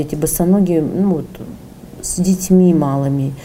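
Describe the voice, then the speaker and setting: Amid noticeable background noise and audible room echo, a woman speaks at a moderate pace with a fairly low pitch and fairly even intonation. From Sakhalin, Russia. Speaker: entrepreneur. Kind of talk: interview.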